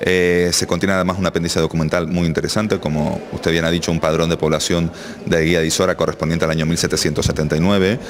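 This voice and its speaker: Someone talks at a very fast pace in a monotone, flat intonation with very even loudness. Noticeable background noise runs underneath. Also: man, very deep, low pitch for a man. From Canary Islands, south Tenerife (Arona). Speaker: local historian and author. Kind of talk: radio interview.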